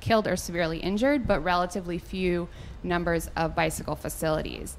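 A woman's plain, everyday voice at a moderate pace, with fairly even intonation and light background noise. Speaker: presenter. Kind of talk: public presentation. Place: hall. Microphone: handheld.

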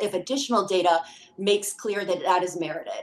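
The pace is fairly quick as a woman talks. Her pitch rises and falls in an ordinary way. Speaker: hearing witness reading testimony on a spouse's behalf. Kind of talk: formal testimony read aloud. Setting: congressional committee hearing. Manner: formal. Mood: earnest, urgent. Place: home room. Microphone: webcam.

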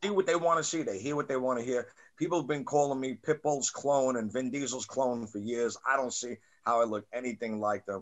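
A man speaks in a New York accent. The background is quiet. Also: medium pitch for a man, ordinary pitch variation, fairly quick pace. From Staten Island, New York. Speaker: podcast host and rapper; podcast host. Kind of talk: casual interview. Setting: video call. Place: home room. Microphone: webcam.

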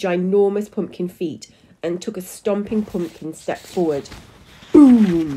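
An unforced reading voice, its pitch moving in an ordinary way

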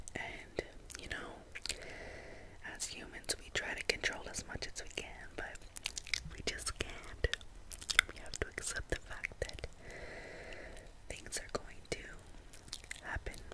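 A woman speaking with long, frequent pauses over noticeable background noise. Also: fairly slow pace. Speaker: ASMR content creator. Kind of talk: ASMR relaxation video. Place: home room. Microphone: studio mic.

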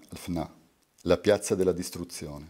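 The background stays quiet. A man's voice, dark and mellow in tone, moves along at a moderate pace. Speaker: poet reading his work. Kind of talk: poetry reading aloud. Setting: live reading at a university. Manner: meditative, lyrical cadence. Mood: calm, measured, contemplative. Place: home room. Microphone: studio mic.

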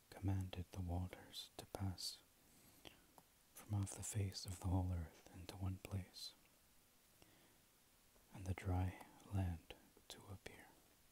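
The soft-spoken, somewhat breathy voice moves at a fairly slow pace in a monotone, flat intonation, with long, frequent pauses and noticeable background noise. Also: man, very deep, low pitch for a man, dry sound with no echo. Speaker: reader of scripture. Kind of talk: scripture reading. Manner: soft, low ASMR reading voice. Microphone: earbuds.

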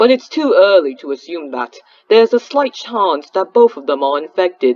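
Putting on a robotic character voice with a British accent, a man speaks at a moderate pace in a high pitch with very wide pitch swings.

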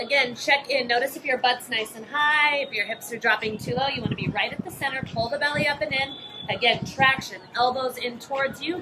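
With music playing in the background, a woman speaks at a high pitch. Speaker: yoga instructor. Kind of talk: fitness class instruction. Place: open country.

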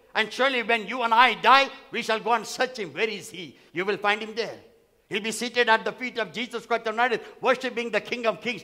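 Delivered at a fairly quick pace, the raised, projected voice has an animated tone and a bright, sharp tone over a quiet background. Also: man, extremely high pitch for a man. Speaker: pastor. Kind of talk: sermon. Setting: church. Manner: animated, repetitive, call-and-response preaching; emphatic, repeating phrases for effect. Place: church. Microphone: headset.

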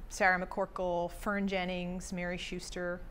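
A woman speaks with monotone, flat intonation at a moderate pace. Light background noise can be heard. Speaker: guest. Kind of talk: interview answer. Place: studio.

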